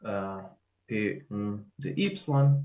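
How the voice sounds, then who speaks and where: Lively intonation marks this man's speech in a European Portuguese accent. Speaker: mathematics professor. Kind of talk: lecture. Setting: video call. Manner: slow; halting, many fillers.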